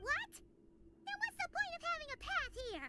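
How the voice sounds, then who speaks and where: This put-on character voice, extremely high and squeaky, keeps a moderate pace. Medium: video game. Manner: lively, outspoken.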